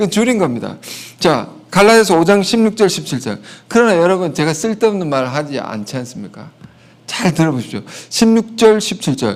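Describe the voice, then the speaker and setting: Here a man speaks at a fairly quick pace with a high pitch. His voice makes very wide pitch swings. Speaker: pastor. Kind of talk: sermon.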